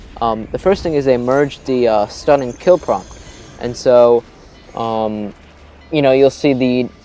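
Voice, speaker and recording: Over music in the background, a man speaks at a medium pitch and moderate pace with ordinary pitch variation. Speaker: gaming commentator. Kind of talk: casual gameplay commentary.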